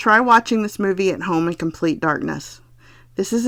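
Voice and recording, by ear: Reading aloud in a natural voice. The pitch variation is ordinary.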